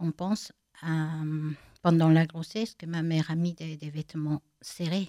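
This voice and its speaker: A woman speaks very slowly with a Spanish accent, her tone dark and mellow. The sound is dry and close with no echo, and her intonation stays fairly even. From Bolivia, La Paz. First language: Spanish (speaking French). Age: 50s. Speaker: blind woman giving testimony. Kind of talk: interview testimony. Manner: halting, many hesitations.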